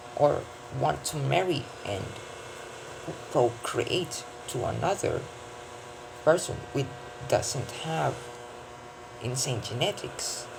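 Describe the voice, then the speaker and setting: In a non-native accent, a man speaks at a very slow pace with long, frequent pauses at medium pitch, against noticeable background noise. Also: lively intonation. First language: not English. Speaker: vlogger. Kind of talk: casual monologue. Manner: halting, with many self-corrections.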